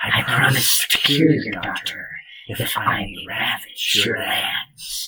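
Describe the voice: A put-on character voice hisses in a menacing tone. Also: man, fairly high pitch for a man, fairly slow pace.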